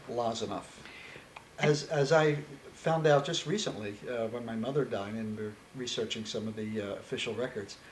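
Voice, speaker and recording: A man talks with an American accent and ordinary pitch variation. Noticeable background noise can be heard. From US Northeast, Philadelphia. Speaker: interviewee. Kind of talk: oral history interview. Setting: on camera interview. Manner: halting.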